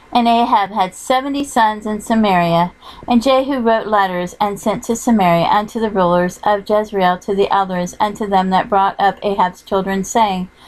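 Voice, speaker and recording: A woman with an unremarkable speaking voice talks at a medium pitch and moderate pace, her intonation fairly even and hardly any pauses in between. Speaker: audiobook narrator. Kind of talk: scripture reading.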